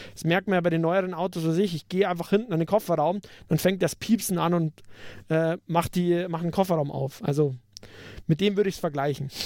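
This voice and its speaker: In a Bavarian accent, a man speaks at a fairly quick pace with a high pitch and fairly even intonation, in a very clean recording with a silent background. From Upper Bavaria, Germany. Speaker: podcast co-host. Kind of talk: casual tech discussion.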